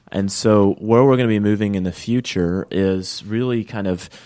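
The man's tone is dark and mellow. His pace is moderate. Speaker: startup sales lead. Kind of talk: radio interview. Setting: studio.

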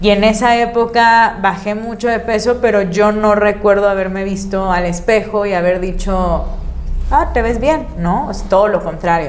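With audible room echo and noticeable background noise, a woman speaks at a fairly slow pace with ordinary pitch variation. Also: medium pitch for a woman. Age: 30s. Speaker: content creator. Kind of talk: casual chat.

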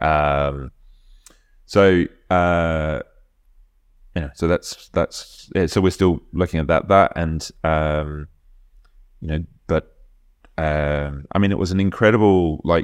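Very slow, fairly even delivery in an Australian accent, broken by long, frequent pauses, on a very clean recording with a silent background. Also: man, very deep, low pitch for a man. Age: 50s. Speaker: rowing coach. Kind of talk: casual chat.

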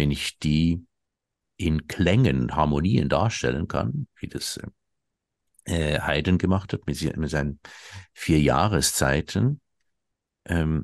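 A man speaks at a very slow pace in a very deep, low voice with vocal fry and ordinary pitch variation. His pauses are long and frequent, and the sound is dry and close with no echo. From Switzerland. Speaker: satirist and ex-cabaret artist. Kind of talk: interview conversation.

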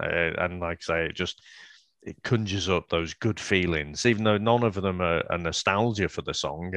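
A man with a Liverpool accent and a very deep, low pitch talks at a moderate pace with ordinary pitch variation. The sound is dry and close with no echo, over a quiet background. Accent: Scouse. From Liverpool, England. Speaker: podcast co-host. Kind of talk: casual chat.

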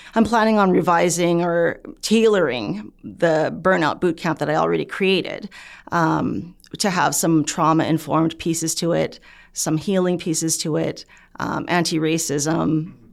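A woman with a Canadian accent speaks at a moderate pace, her fairly low voice showing vocal fry. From Canada. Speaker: physician and researcher. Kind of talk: interview.

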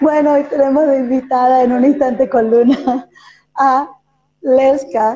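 A woman speaks at a fairly slow pace in a high pitch, her dark, mellow tone holding very even loudness with fairly even intonation. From Venezuela. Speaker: podcast host and performer. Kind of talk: interview.

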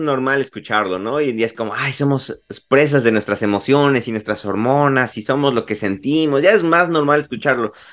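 A man is talking at a moderate speed. His pitch is fairly high. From Mexico, Puebla. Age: 20s. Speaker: graphic designer. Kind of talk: casual chat.

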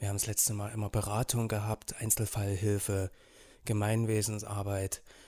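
A man's fairly low, dark, mellow voice, somewhat breathy, monotone and flat at a moderate pace, in a very clean recording with a silent background. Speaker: school social worker. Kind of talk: casual chat.

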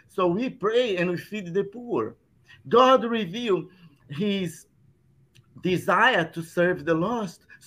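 Bright, sharp tone in a Brazilian Portuguese accent, with lively intonation at a fairly slow pace. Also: man. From southern Brazil. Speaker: Salvation Army officer and pastor. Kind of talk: casual chat.

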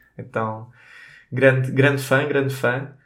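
A man with a European Portuguese accent speaks at a moderate pace and medium pitch. There is audible room echo. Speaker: podcast co-host, physicist. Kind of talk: casual chat.

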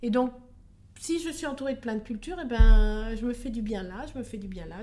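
A woman's fairly high, somewhat breathy voice with a dark, mellow tone, ordinary pitch variation and a fairly quick pace. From France. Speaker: expatriate. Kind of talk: interview. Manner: hesitant.

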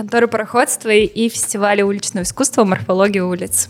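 Using an ordinary speaking voice, a woman talks at a fairly quick pace in a fairly high pitch with fairly even intonation. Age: 20s. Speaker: cultural center director. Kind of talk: casual chat.

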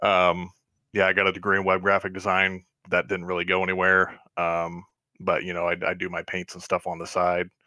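Talking at a fairly quick pace, a man delivers his lines in a monotone, flat way with a very deep, low pitch. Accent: Midwestern American. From Northwest Ohio. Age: 20s. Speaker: sim racing league admin. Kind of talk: podcast interview.

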